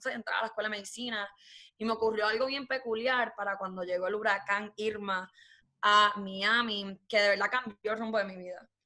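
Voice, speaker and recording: Her bright, sharp voice sits at medium pitch and moves at a fairly quick pace, flat and monotone in intonation but with big swings in loudness. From Puerto Rico. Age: 20s. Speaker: forex trader and recent graduate. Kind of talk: casual interview.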